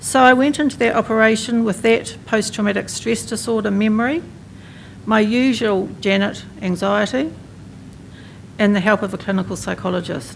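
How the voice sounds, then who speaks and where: In a New Zealand accent, a woman talks at a moderate pace with a fairly high pitch and ordinary pitch variation, and the room echo is audible. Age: 60s. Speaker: mental health professional and patient advocate. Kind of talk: conference speech.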